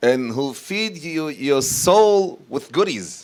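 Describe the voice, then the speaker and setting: A man with an Israeli accent speaks with lively intonation. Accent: Israeli Hebrew accent in English. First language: Hebrew. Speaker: rabbi and youth educator. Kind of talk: talk to an audience. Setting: community event with audience. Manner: halting.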